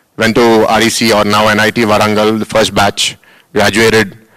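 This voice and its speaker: Fairly low-pitched male voice with an Indian accent, bright, sharp tone and monotone, flat intonation. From India, Hyderabad. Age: 30s. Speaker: school founder and politician. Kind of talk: welcome address to students. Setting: auditorium with audience.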